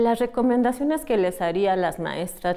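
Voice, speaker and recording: A woman talks in a dark, mellow tone with ordinary pitch variation. The background is quiet. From Mexico. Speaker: teacher. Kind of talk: interview. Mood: warm, encouraging. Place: classroom. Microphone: lapel.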